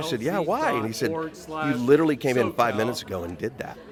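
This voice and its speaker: Very fast, fairly high-pitched male speech with very wide pitch swings amid noticeable background noise. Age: 40s. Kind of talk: red carpet interview. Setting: gala red carpet.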